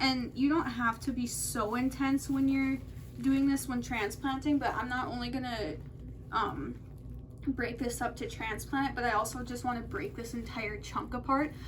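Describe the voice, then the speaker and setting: Soft-spoken and high-pitched, a woman talks at a moderate pace with fairly even intonation, amid audible room echo and noticeable background noise. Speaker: plant care video host. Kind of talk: tutorial.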